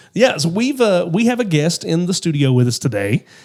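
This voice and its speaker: At a fairly quick pace, a man with a fairly high pitch speaks in very wide pitch swings. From Eastern Kentucky. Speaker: podcast host. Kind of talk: casual chat. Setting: studio.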